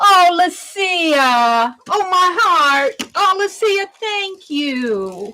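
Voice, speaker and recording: The voice is loud and the pace very slow. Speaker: art instructor. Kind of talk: livestream art tutorial with chat. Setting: livestream. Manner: loud, projecting.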